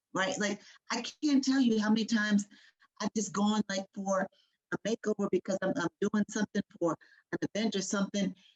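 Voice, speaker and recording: Somewhat breathy and animated, a woman speaks at medium pitch and a moderate pace. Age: 50s. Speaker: panelist. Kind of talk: panel discussion.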